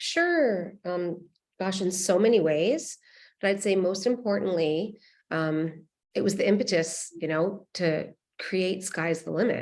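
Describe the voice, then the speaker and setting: Speaking at a fairly slow pace, a woman uses a plain, everyday voice with medium pitch and ordinary pitch variation. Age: 50s. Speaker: nonprofit founder. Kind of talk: panel discussion.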